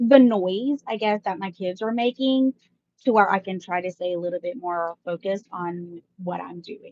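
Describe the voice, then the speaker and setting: With an American accent, a woman speaks at a fairly slow pace in a dark, mellow tone with ordinary pitch variation, the sound dry and close with no echo. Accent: Mississippi twang, toned down. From US South, Mississippi. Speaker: live-stream vlogger. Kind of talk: casual chat. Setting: home live stream with kids around. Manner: deliberately more professional.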